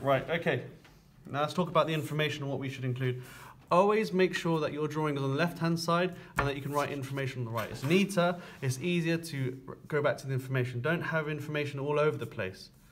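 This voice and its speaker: At a very fast pace, a man with a fairly high pitch speaks somewhat breathily, with ordinary pitch variation. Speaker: construction drawing teacher. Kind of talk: tutorial.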